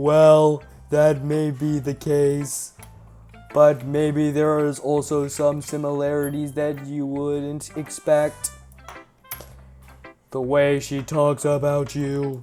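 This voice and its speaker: A put-on character voice at a low-to-middle pitch, very slow and flat in a monotone, with faint music in the background. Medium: game stream. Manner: monotonous, repetitive.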